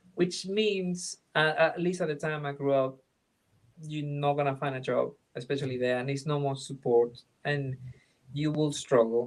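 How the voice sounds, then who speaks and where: Here a man speaks with a Venezuelan accent at a fairly high pitch. His pace is moderate and his pitch variation ordinary. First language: Spanish. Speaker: film director. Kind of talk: interview. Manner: halting, with many fillers and restarts.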